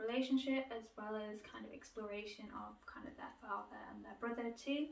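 Audible room echo surrounds a woman speaking at a fairly high pitch and a fairly quick pace, with ordinary pitch variation. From UK. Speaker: book YouTuber. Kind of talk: casual video monologue, book haul. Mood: relaxed, chatty. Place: home room. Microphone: camera far.

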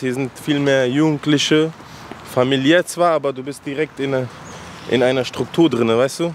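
A man with a fairly high pitch speaks at a fairly slow pace with fairly even intonation. The sound is dry with no echo, over light background noise. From Afghanistan (Kabul), raised in Frankfurt-Sossenheim; Afghanistan. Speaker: rapper; guest. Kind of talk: casual interview. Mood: relaxed, reflective storytelling. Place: street. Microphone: handheld.

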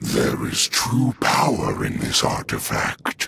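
Speaking at a fairly slow pace, the man performs a put-on character voice. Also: medium pitch for a man. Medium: dub. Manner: menacing, sneering.

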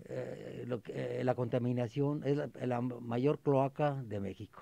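Dark and mellow in tone, a man's medium-pitched voice moves at a very slow pace. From Mexico, Aguascalientes. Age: 70s. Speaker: retired tree planting volunteer. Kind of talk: radio interview. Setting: radio studio.

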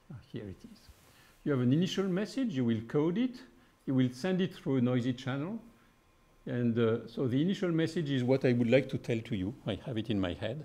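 A man speaks at a fairly quick pace with lively intonation. His tone is dark and mellow. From France. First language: French. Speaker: physicist; physicist giving a prize lecture. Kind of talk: lecture. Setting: stage with audience. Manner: halting. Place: hall.

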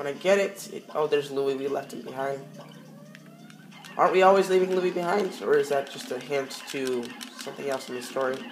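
A woman with a very deep, low pitch talks at a fairly quick pace, leaving long, frequent pauses. Her intonation is lively, her loudness swings widely, and noticeable background noise is present. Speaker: gaming YouTuber. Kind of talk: let's play commentary.

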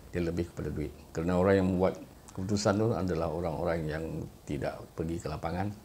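Over light background noise, a man with a very deep, low voice speaks very fast with fairly even intonation. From Malaysia. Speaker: YouTuber. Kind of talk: monologue commentary. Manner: hesitant, frequent uh fillers. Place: home room. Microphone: phone near.

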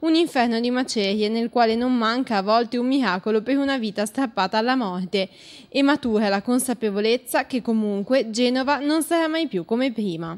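With ordinary pitch variation, a woman talks at a fairly quick pace in a fairly high pitch. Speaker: news narrator. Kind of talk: newsreel-style scripted narration, solemn and mournful. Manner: formal; grave, measured, dramatic.

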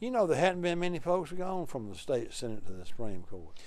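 Talking at a fairly quick pace, a man uses a fairly high pitch. His pitch swings very widely, and the sound is dry with no echo. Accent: Alabama. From Alabama. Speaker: political talk show host. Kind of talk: interview. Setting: studio. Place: studio. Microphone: lapel.

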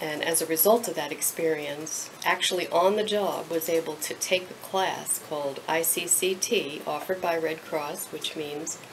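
Light background noise sits behind a woman's fairly low voice. She talks at a moderate pace with fairly even intonation. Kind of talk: interview answer. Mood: emotional, heartfelt recollection. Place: office. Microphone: camera far.

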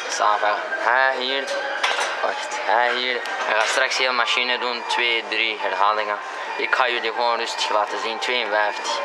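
Fairly slow speech from a man beneath loud background noise. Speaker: fitness vlogger. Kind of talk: casual vlog chat.

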